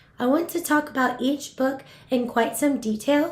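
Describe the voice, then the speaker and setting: A woman with an American accent speaks at a moderate pace in a high voice, her tone upbeat and enthusiastic. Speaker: voiceover artist. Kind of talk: casual talk to camera. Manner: upbeat, enthusiastic.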